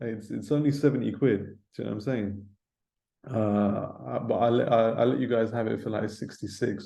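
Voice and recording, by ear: A man's fairly low, dark and mellow voice with vocal fry, fairly even intonation and a moderate pace, plus audible room echo.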